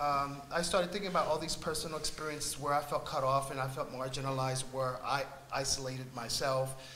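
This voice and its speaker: Both audible room echo and noticeable background noise accompany this man's voice. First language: Spanish. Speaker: artist on a panel. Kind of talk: panel discussion. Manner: halting, many fillers.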